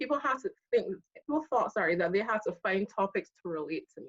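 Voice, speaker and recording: Her voice has a slight Barbadian accent and a fairly high pitch as a woman talks with lively intonation. The pace is moderate, and the sound is dry and close with no echo. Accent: slight Barbadian (Bajan). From Barbados. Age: 30s. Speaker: accountant. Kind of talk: casual chat.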